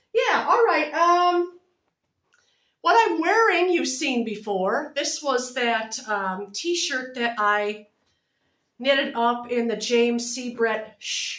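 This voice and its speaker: A woman talks at a very slow pace. Her high-pitched voice carries lively intonation. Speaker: knitting and crochet vlogger. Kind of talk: casual chat. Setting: home video recording, close to camera. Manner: loud.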